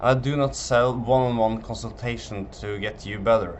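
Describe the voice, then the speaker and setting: Against audible room echo, a man speaks at a medium pitch and a fairly slow pace. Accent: Norwegian. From Norway. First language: Norwegian. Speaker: physiotherapist selling online tendon program. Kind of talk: sales pitch presentation. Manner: halting, with fillers.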